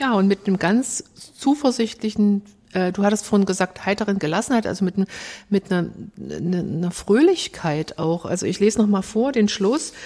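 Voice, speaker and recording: A woman's voice of medium pitch has a dark, mellow tone, ordinary pitch variation and a moderate pace. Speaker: church musician, podcast co-host. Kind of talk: podcast discussion.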